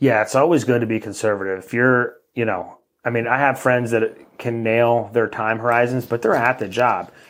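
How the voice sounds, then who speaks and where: At a moderate pace with hardly any pauses, an ordinary speaking voice carries fairly even intonation. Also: man, medium pitch for a man. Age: 30s. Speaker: mortgage lender. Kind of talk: casual interview.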